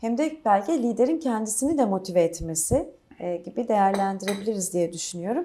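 Against noticeable background noise, a woman speaks at a moderate pace and medium pitch with lively intonation. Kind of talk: formal interview. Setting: on-site interview with crew.

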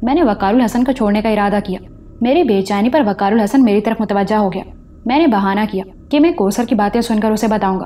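Natural-voiced reading aloud, its pitch rising and falling in an ordinary way

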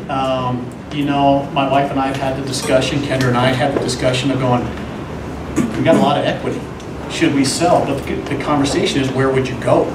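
A man talks at a very fast pace. Noticeable background noise is present. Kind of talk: public meeting presentation. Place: meeting room. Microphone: camera far.

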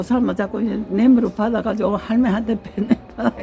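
A woman talks at a fairly quick pace with a fairly high pitch. Noticeable background noise can be heard. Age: 90s. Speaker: elderly mother recounting history. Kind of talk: casual interview. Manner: halting.

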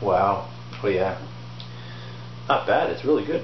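A man's fairly low voice at a slow pace, with lively intonation and clear background noise.

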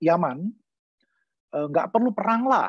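Recorded against a quiet background, a man speaks in a dry sound with no echo. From Indonesia. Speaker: law professor. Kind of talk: online lecture. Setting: video call. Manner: halting with many fillers. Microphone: video call.

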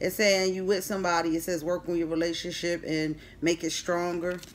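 At a moderate pace, a woman speaks with an American accent over light background noise. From Philadelphia. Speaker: tarot reader. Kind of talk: tarot reading. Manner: casual. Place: home room. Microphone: phone near.

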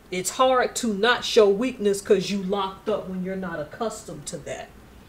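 Noticeable background noise sits behind a woman speaking at a fairly slow pace. Her pitch variation is ordinary. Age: 40s. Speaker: YouTuber. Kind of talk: casual commentary vlog. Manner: animated.

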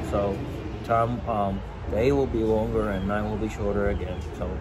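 A man speaks at a fairly slow pace amid loud background noise. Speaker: pipe-smoking vlogger. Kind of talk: casual vlog chat. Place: cafe. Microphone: lapel.

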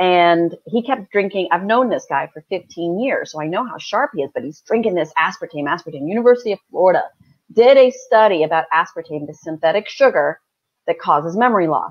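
With an American accent, a woman speaks at medium pitch and a fairly quick pace, her lively intonation marked by big swings in loudness against a quiet background. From United States. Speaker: naturopathic doctor. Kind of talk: health advice talk. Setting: live online broadcast. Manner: animated, laughs often. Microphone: video call.

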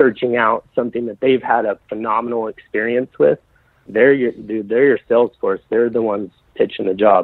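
A man with a Texan accent speaks at a medium pitch in a flat, monotone way. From West Texas, Amarillo. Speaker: auto detailer, business owner. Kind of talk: casual interview.

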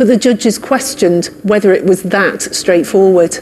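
A woman talks at a moderate pace over light background noise. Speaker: news reporter. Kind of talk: news report to camera. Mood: serious, measured. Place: studio.

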